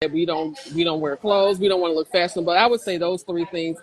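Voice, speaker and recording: Here is an unremarkable speaking voice. Intonation stays fairly even. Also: woman. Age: 60s. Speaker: plus-size mature model. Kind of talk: interview. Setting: livestreamed video call.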